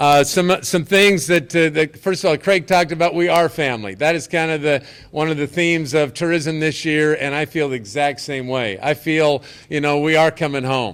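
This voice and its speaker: At a moderate pace, a man talks at a fairly high pitch with ordinary pitch variation. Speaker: basketball tournament organizer. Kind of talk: press conference speech. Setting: hotel event with audience, live streamed. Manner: loud; animated.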